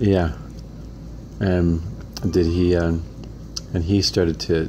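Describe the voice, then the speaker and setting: Noticeable background noise sits behind a man's voice. He speaks with a very deep, low pitch and lively intonation. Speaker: interviewer, son of the interviewed man. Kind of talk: casual interview questions. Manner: conversational, repeating answers back.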